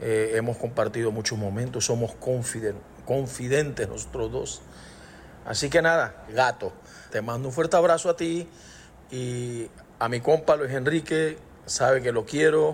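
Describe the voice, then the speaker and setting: This man has an unremarkable speaking voice, talking at a fairly slow pace with ordinary pitch variation. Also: medium pitch for a man. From Panama. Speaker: singer-songwriter. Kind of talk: recorded voice message.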